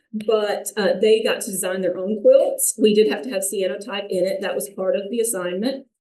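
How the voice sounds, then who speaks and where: A woman talks with a North Alabama accent. Her voice sits at medium pitch with a dark, mellow tone. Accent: Southern US (North Alabama), noticeable. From US South, North Alabama. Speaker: artist and high school art teacher, vendor. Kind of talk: informal presentation to audience.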